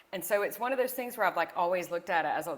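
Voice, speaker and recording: Ordinary pitch variation from a woman with a Southern US accent. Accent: Southern twang. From US South. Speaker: entrepreneur. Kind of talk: interview.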